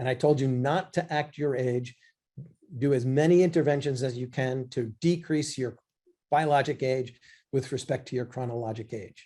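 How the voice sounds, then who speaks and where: This man talks at a fairly quick pace in a fairly high pitch, somewhat breathy. His tone is dark and mellow, and his intonation fairly even. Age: 60s. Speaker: physician. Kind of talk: lecture. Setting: live online class.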